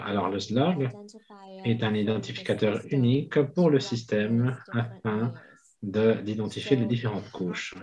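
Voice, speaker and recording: Very slow, somewhat breathy speech from a man, medium in pitch, with ordinary pitch variation. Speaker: simultaneous interpreter. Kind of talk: simultaneous interpretation of a webinar. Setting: video call. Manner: halting, many repeated words.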